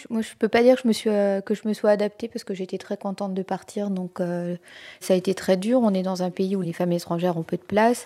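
Talking at a very fast pace, a woman has a dark, mellow tone, a medium pitch and fairly even intonation. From France. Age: 30s. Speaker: expatriate aid worker. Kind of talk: interview testimony.

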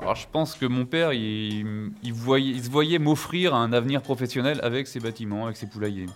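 A man has a plain, everyday voice at a medium pitch. He talks at a moderate pace with ordinary pitch variation and hardly any pauses. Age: 30s. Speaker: farmer. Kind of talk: interview.

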